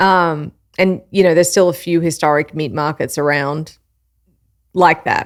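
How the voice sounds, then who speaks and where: Recorded very cleanly with a silent background, a woman with an Australian accent speaks at a fairly low pitch with fairly even intonation. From Australia, Melbourne. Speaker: live fire cook and meat expert. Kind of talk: casual interview chat.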